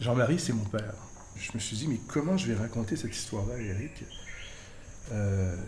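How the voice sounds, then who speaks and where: Noticeable background noise and audible room echo fill the recording. A man speaks at a moderate pace. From Quebec, Montreal. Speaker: journalism trainer. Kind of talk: personal testimony.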